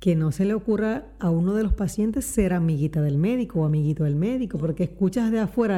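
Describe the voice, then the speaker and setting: A woman speaks with an unremarkable speaking voice at a medium pitch. Her intonation is lively. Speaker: podcast co-host. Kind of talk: casual chat.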